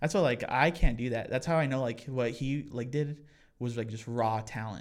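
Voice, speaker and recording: On a very clean recording with a silent background, a man talks in an ordinary speaking voice at medium pitch, with ordinary pitch variation and a moderate pace. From Colorado (Pueblo). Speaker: musician. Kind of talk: casual chat.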